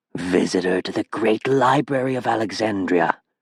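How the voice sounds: Using a put-on character voice with hissing, a man speaks at a moderate pace and medium pitch.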